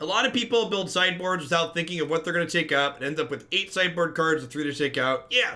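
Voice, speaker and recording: A man speaks very fast and loud, with a high pitch and ordinary pitch variation. He leaves hardly any pauses, and there is noticeable background noise. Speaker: card game streamer. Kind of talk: live gameplay commentary.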